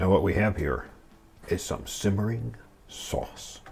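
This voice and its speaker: A man with a fairly low voice and ordinary pitch variation speaks over noticeable background noise. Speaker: cooking channel host. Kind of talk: cooking tutorial. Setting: home kitchen. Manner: casual, chatty.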